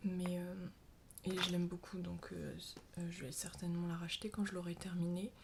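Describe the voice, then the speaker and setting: A soft-spoken woman with a fairly low pitch talks at a fairly quick pace in a somewhat breathy voice. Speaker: ASMR creator, sophrology practitioner. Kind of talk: ASMR makeup show-and-tell.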